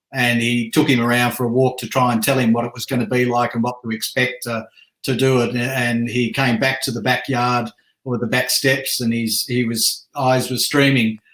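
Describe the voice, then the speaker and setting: With an Australian accent, a man speaks at a medium pitch and moderate pace in a monotone, flat intonation. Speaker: military veteran. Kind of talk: casual chat. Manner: halting.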